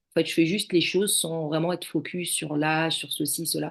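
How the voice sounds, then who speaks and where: A woman speaks at a fairly low pitch and a moderate pace, with vocal fry. The background is quiet. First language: not French (speaking French). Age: 40s. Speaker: judo athlete, former firefighter. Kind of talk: podcast interview. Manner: hesitant, many fillers.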